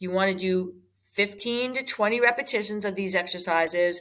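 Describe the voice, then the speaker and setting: This woman has an ordinary speaking voice. She talks at a moderate pace with ordinary pitch variation. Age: 60s. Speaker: fitness instructor. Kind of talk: exercise tutorial. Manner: casual, conversational with fillers.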